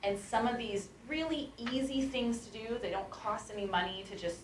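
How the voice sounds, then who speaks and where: The speaker is a woman. There is audible room echo in the recording. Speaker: startup talk speaker from a coding school. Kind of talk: talk to a class with Q&A. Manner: fast.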